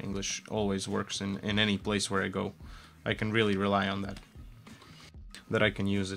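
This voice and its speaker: Over music in the background, a man talks fairly quickly in a fairly low pitch with monotone, flat intonation and long, frequent pauses. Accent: Latvian. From Latvia. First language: Latvian. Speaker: game artist streamer. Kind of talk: casual live stream chat while working. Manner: relaxed, halting with fillers.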